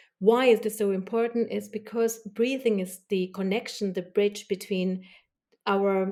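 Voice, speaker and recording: Speaking at a fairly slow pace with a non-native accent, a woman uses a medium pitch, a dark, mellow tone, and fairly even intonation. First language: not English. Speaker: body language expert. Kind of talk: podcast interview.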